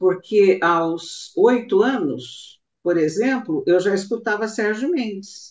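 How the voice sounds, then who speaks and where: A woman's medium-pitched voice, very slow in pace, with hardly any pauses and lively intonation. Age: 60s. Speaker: singer. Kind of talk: interview. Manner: halting.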